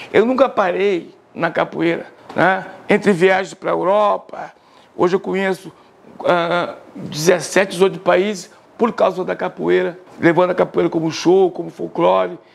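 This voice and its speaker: With fairly even intonation, a man talks in a high pitch at a fairly slow pace. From Bahia (Salvador), born in Porto Alegre. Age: 60s. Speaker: capoeira master. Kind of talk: interview testimony. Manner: casual, conversational.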